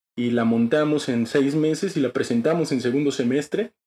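Speaking at a moderate pace, a man with a plain, everyday voice has a fairly high pitch. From Mexico, Chiapas (Tuxtla Gutiérrez). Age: 20s. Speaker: theatre actor and director. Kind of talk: interview. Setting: studio.

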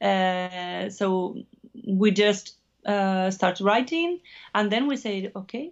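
A woman with a Spanish accent, medium pitch, ordinary pitch variation and a very slow pace. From Basque Country, Spain (Navarre). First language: Spanish or Basque. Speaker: musician. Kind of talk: interview. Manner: halting.

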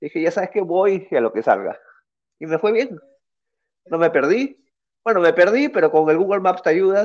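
Over a quiet background, a man with a high pitch speaks with lively intonation and long, frequent pauses. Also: moderate pace. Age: 30s. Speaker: guitarist and music producer. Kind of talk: casual interview.

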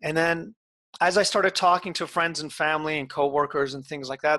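The man speaks at a very fast pace. His tone is bright and sharp. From Iran. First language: Farsi. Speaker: life coach and author. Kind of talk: casual interview. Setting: call.

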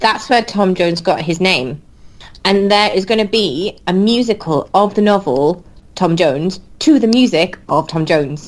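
A woman with a Welsh accent talks at a moderate pace and medium pitch, with lively intonation and very even loudness. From Wales. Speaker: podcast co-host. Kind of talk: casual chat.

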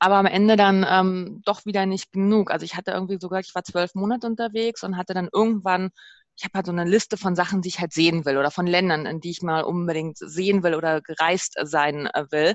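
A woman's plain, everyday voice, medium in pitch, with ordinary pitch variation, at a fairly quick pace. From Berlin, Germany. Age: 30s. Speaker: interview guest sharing sabbatical experience. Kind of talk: casual interview. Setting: remote call.

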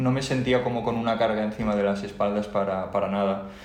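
Speech comes from a man at a very fast pace. There is audible room echo along with noticeable background noise. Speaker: podcast co-host, engineer. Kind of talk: casual chat. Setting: home recording.

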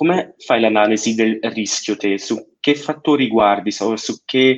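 The voice moves at a fairly slow pace with ordinary pitch variation. The background is quiet. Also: man. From Switzerland, Italian parents. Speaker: finance student. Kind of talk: interview. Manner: halting, many fillers and repeats.

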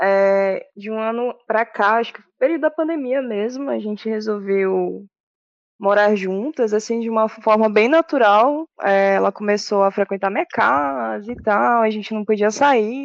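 A woman with an ordinary speaking voice talks at a fairly slow pace, fairly high in pitch with ordinary pitch variation, against a quiet background. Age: 30s. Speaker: administrator and aspiring DJ. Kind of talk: casual interview.

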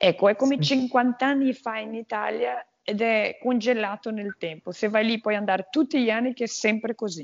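With a Portuguese accent, a woman speaks at a fairly high pitch with ordinary pitch variation. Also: moderate pace. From Brazil, Minas Gerais. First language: Portuguese (speaking Italian). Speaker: walker and TV presenter. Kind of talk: casual interview.

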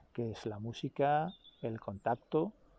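The sound is dry and close with no echo, a quiet background, and ordinary pitch variation. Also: man. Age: 40s. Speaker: travel vlogger. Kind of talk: personal vlog monologue. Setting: outdoors by a river. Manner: halting, with many repetitions.

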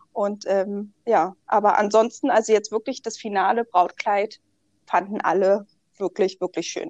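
A woman speaks fairly slowly at a medium pitch with fairly even intonation, in an unremarkable speaking voice. The sound is dry and close, with no echo. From Berlin, Germany. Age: 20s. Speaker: bride, insurance clerk. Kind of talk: interview.

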